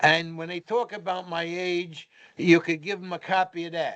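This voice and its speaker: Speaking fairly slowly at a high pitch, a man with a New York accent is heard against a quiet background. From New York (Brooklyn). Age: 80s+. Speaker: retired police commissioner. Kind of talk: interview storytelling. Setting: podcast recording.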